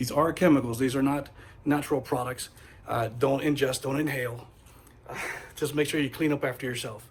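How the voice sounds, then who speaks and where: Fairly quick speech broken by long, frequent pauses, with fairly even intonation and noticeable background noise. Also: man, fairly high pitch for a man. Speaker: car DIY video host. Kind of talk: tutorial. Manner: halting, self-correcting; casual.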